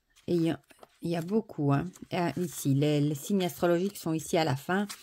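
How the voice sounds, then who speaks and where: A woman speaks at a fairly slow pace. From Belgium (Wallonia). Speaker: oracle deck reviewer. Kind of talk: product review / unboxing. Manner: animated, enthusiastic; hesitant, many fillers.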